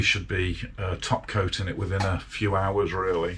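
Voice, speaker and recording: Over noticeable background noise, a man talks. His pace is moderate. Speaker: motorcycle restoration hobbyist. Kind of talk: casual workshop vlog. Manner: chatty with fillers.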